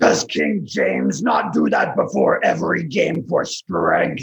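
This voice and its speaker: A put-on character voice from a man, raspy and delivered at a fairly slow pace. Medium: audio drama. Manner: formal, no contractions, grandiose.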